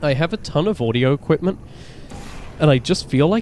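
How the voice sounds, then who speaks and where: Over noticeable background noise, a man talks in a relaxed tone at a fairly quick pace. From Britain. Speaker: gaming streamer. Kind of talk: casual live-stream chat while gaming. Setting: live stream. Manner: relaxed, halting with fillers.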